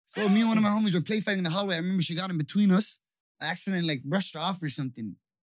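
The recording is very clean, with a silent background. A man speaks at a very fast pace with ordinary pitch variation. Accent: Toronto. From Toronto, Canada. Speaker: podcast guest. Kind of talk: casual chat.

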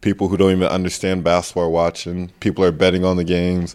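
A man's very deep, low voice with an American accent, very fast and monotone, on a very clean recording with a silent background. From US, New Jersey. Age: 20s. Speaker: professional basketball player. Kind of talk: casual interview.

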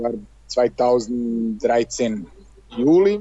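The speaker is a man with a Serbian accent. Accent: Serbian accent, speaks German very well. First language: Serbian (speaking German). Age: 30s. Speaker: handball player. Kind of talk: interview. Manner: halting.

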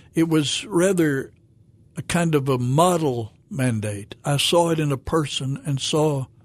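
Speaking at a fairly slow pace, a man with a Southern US accent uses a fairly high pitch with ordinary pitch variation. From Arkansas, Fayetteville. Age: 70s. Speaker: pastor. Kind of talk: testimony. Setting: studio. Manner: halting.

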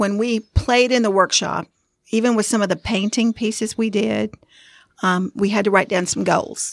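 With a Southern US accent, a woman speaks at a moderate pace and medium pitch with fairly even intonation, her voice dry and close with no echo in a very clean recording with a silent background. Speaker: podcast co-host. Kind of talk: casual podcast chat.

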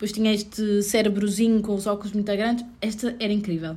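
A woman with a European Portuguese accent speaks in a somewhat breathy voice. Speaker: returning guest, friend of host. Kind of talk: casual chat. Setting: at home.

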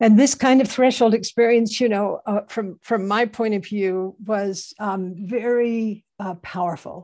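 This woman's voice sits fairly high, with a dark, mellow tone and fairly even intonation. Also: fairly slow pace. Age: 70s. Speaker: Zen teacher and anthropologist. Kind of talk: panel talk. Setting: video call. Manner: halting.

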